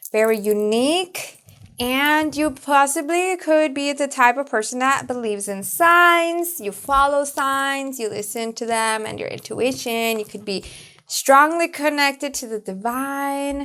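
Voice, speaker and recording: A raised, projected voice moves at a fairly slow pace with ordinary pitch variation. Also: woman, high pitch for a woman. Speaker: tarot reader. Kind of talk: channel outro; tarot reading.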